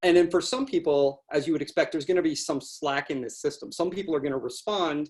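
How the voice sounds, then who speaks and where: The pace is very fast. The intonation stays lively throughout. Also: man, high pitch for a man. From Canada. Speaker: university researcher. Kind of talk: lecture.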